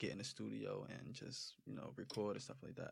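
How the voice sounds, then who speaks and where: A fairly low-pitched man with an American accent and vocal fry, talking at a fairly quick pace on a very clean recording with a silent background. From New Jersey, Roselle. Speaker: rapper. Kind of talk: casual chat.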